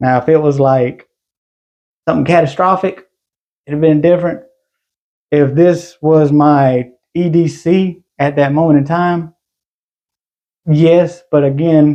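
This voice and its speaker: Speaking at a fairly slow pace with long, frequent pauses, a man with a fairly high pitch and dark, mellow tone keeps a fairly even intonation. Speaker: gun collector YouTuber. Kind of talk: casual show-and-tell video.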